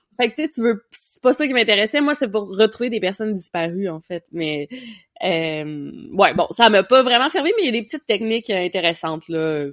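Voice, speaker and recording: Here a woman at medium pitch talks at a moderate pace, with very wide pitch swings and big swings in loudness. The sound is dry and close, with no echo. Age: 20s. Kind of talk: casual chat.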